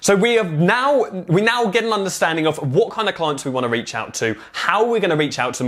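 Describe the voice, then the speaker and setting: With an English accent, a man speaks in an animated tone at a very fast pace, his pitch swinging very widely, over noticeable background noise. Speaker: marketing coach. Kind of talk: tutorial.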